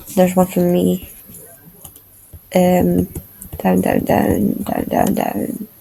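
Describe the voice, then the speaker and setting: Music plays in the background as a woman speaks very slowly, with long, frequent pauses. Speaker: vlogger. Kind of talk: casual vlog commentary.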